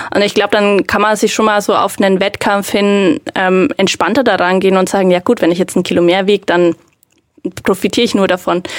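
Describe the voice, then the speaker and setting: A woman speaks at a medium pitch and a fairly quick pace, with ordinary pitch variation and very even loudness. It is an ordinary speaking voice, recorded dry and close with no echo. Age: 20s. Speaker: powerlifter. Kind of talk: casual chat.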